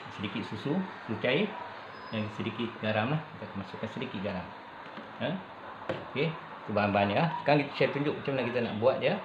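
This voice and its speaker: A man rattles along at a very fast pace with noticeable background noise behind him. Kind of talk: tutorial. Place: kitchen. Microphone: phone near.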